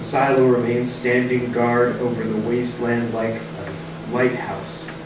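A man talks at a fairly slow pace, with audible room echo and noticeable background noise around him. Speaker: radio play narrator. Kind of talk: dramatic reading. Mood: grave, measured narration. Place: stage.

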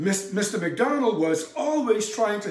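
With audible room echo, a man speaks at a very slow pace in a high voice. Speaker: presenter. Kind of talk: history narration to camera. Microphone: lapel.

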